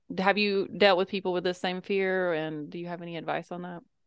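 A plain, everyday voice with an American accent moves at a fairly quick pace, in a dry, close sound with no echo and a quiet background. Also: woman. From US South. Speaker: podcast host. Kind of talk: interview conversation.

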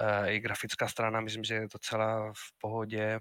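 This man's fairly low voice has a bright, sharp tone, recorded dry and close with no echo. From Spain, Madrid. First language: Spanish (speaking Czech). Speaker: university lecturer and game publisher. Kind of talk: casual interview.

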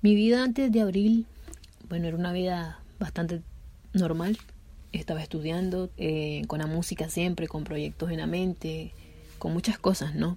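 An unremarkable speaking voice from a woman, fairly low in pitch, with ordinary pitch variation at a moderate pace. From Nicaragua. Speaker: musician. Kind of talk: interview testimony.

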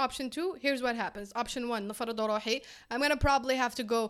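In an Algerian accent, a woman talks at a moderate pace with a high pitch. The recording is very clean, the background silent. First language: Algerian Arabic. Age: 20s. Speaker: physics student and startup co-founder. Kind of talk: casual chat.

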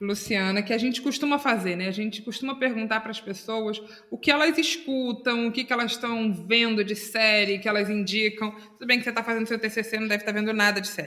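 A woman talks at a fairly quick pace with hardly any pauses and fairly even intonation. There is noticeable background noise. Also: fairly high pitch for a woman. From Brazil, Itacuruçá (Rio de Janeiro state). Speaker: podcast co-host. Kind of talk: casual chat.

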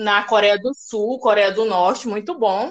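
A woman is speaking. Her pace is fairly slow. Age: 20s. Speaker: blog administrator. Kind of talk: casual chat.

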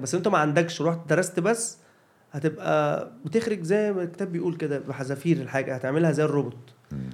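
A man talks at a moderate pace. He has an unremarkable speaking voice. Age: 30s. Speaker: comedian and video creator. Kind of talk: casual chat.

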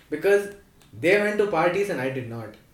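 A man with very wide pitch swings at a fairly quick pace, over noticeable background noise. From Delhi, India; South Indian family. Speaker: podcast host, college student. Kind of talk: casual chat.

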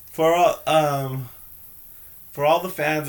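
With fairly even intonation, a man talks at a very slow pace. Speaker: podcast host. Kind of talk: casual chat.

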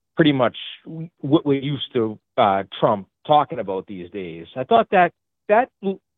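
In a strong Boston accent, the speaker talks at a moderate pace with big pitch swings, the sound dry and close with no echo. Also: man. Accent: heavy Boston.

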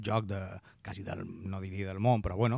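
A man with a Mallorcan accent speaks fairly quickly in a monotone, flat intonation. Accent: Mallorcan Catalan. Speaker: radio host. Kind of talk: radio interview.

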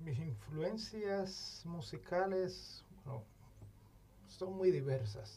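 Over audible room echo, a man with a dark, mellow tone and a somewhat breathy voice speaks at a very slow pace, with very wide pitch swings. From Cuba, Santiago de Cuba. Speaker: musician. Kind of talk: casual chat.

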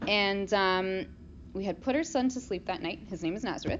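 Vocal fry from a woman at medium pitch and a moderate pace. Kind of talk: informal talk with audience participation. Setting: room with small live audience.

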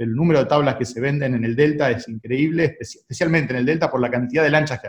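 A somewhat breathy male voice. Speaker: sports federation president. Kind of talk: radio interview. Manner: halting, many repetitions.

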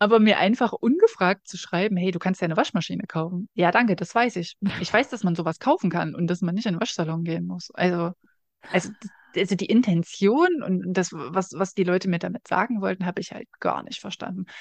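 In a plain, everyday voice, a woman speaks fairly quickly at a medium pitch, with a dry, close sound with no echo over a quiet background. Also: ordinary pitch variation. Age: 30s. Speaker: podcast co-host. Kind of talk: casual chat.

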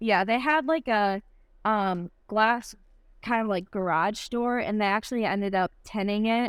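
On a very clean recording with a silent background, a woman talks at a fairly slow pace in a slight Michigan accent. Her pitch is fairly high with ordinary variation, and her loudness stays very even. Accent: slight Michigan accent, nasal. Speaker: CrossFit athlete. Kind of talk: casual interview chat.

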